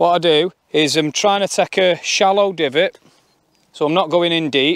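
Fairly even intonation with a dry sound and no echo. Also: man. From northern England. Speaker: golf vlogger. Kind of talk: tutorial. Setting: outdoors. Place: open country.

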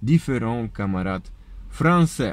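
A man talks with a Polish accent. The sound is dry, with no echo. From Poland. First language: Polish (speaking French). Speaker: political video blogger, construction worker. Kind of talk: political lecture; casual vlog chat. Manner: halting. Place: car. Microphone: phone near.

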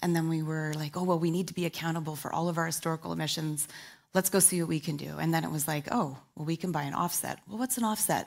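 Against a quiet background, a woman talks at a very fast pace with a fairly low pitch. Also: ordinary pitch variation. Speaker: corporate sustainability head. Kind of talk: panel discussion. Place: stage. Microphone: headset.

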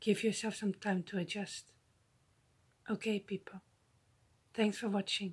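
Somewhat breathy and at a medium pitch, a woman speaks at a fairly slow pace in a gentle, soothing tone with monotone, flat intonation and long, frequent pauses. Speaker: YouTuber. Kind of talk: guided breathing meditation with visualization, addressed to viewers. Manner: slow, paced breath cues with deliberate pauses; gentle, soothing and encouraging. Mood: calm, soothing. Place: home room. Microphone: phone near.

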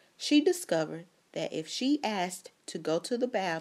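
Someone reads aloud in a natural voice.

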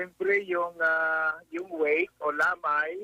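A man speaks very slowly in a raised, projected voice with ordinary pitch variation, the sound dry and close with no echo. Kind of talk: radio phone interview. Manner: halting, many hesitations.

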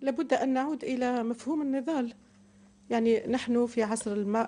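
Fairly even intonation in a dark, mellow tone at a moderate pace. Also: woman. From Algeria. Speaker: political scientist and party activist; interview guest. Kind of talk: interview. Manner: formal. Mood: calm, thoughtful, smiling. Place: studio. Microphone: lapel.

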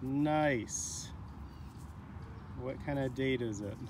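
At a very slow pace, a man talks with a medium pitch. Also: ordinary pitch variation.

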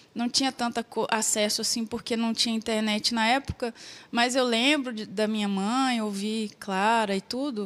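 A woman speaks at a fairly slow pace. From Minas Gerais, Brazil (Paraopeba). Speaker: singer. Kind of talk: interview. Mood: warm, reflective. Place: studio. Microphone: handheld.

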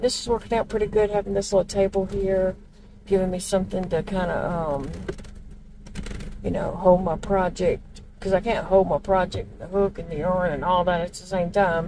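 Over noticeable background noise, a woman speaks at a moderate pace with fairly even intonation, the sound dry with no echo. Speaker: crochet vlogger. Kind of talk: casual vlog chat. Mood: relaxed, cheerful. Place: car. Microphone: phone near.

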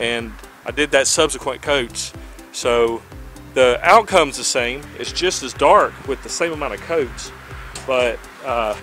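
There is faint music in the background as a man speaks at a fairly slow pace with long, frequent pauses. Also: ordinary pitch variation, dry sound with no echo. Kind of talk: casual vlog chat. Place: garden. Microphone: phone near.

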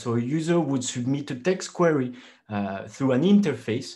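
Against a quiet background, a man talks at a moderate pace with lively intonation and a somewhat breathy sound. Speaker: candidate. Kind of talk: lecture. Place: home room. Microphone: webcam.

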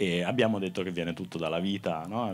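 A man talks with a very deep, low pitch. Light background noise can be heard. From Umbria, Italy (Perugia); Umbria. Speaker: moderator and teacher; moderator, teacher. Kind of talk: live talk interview. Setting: festival stage with audience. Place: open country. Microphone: handheld.

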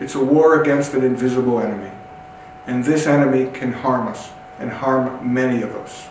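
A man's voice at a moderate pace with ordinary pitch variation, audible room echo and light background noise. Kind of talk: public health address. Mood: serious, urgent concern. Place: empty room.

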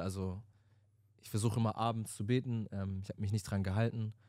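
A man's dark, mellow tone comes through in a dry sound with no echo. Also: quiet background. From Stuttgart, Germany; Germany. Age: 20s. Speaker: podcast co-host. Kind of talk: casual chat. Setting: studio. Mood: reflective, earnest. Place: studio. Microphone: handheld.

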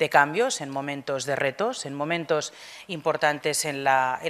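A woman with a very deep, low pitch, ordinary pitch variation and a fairly slow pace. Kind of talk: formal welcome speech. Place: hall. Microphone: podium.

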